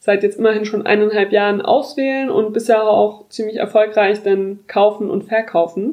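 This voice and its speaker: A woman speaks in a plain, everyday voice. Her pitch is fairly high and her pace is moderate. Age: 20s. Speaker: podcast host. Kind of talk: casual chat.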